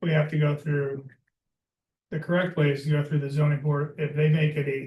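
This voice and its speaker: Here a man speaks with a fairly high pitch. His voice is somewhat breathy and his pace fairly quick. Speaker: applicant at town meeting. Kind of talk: public meeting debate. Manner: fast.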